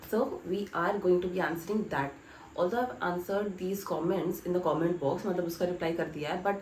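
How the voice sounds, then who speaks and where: The voice has ordinary pitch variation, heard through audible room echo and noticeable background noise. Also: woman. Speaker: YouTuber, chartered accountancy trainee. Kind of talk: vlog Q&A. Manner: casual, code-switching Hindi and English.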